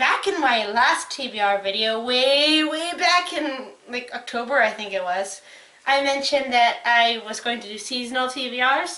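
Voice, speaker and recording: At a moderate pace, a woman speaks in a high pitch with ordinary pitch variation while noticeable background noise plays behind her. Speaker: book reviewer. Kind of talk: casual talk to camera.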